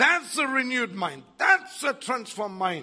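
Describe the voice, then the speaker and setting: This man's voice is extremely high for a man, raised and projected, with an animated tone. He talks at a moderate pace, and his pitch swings very widely. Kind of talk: sermon with charismatic prayer and call-and-response. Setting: church. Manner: animated, fervent, exhorting the congregation; rhythmic, repetitive, praise-driven.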